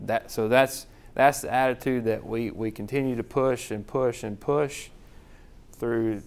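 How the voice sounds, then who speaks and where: Talking at a moderate pace, a man with a medium-pitched voice and a Southern US accent keeps his intonation fairly even. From US South. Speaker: hospital chief financial officer. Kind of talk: conference presentation. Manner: casual, repetitive phrasing.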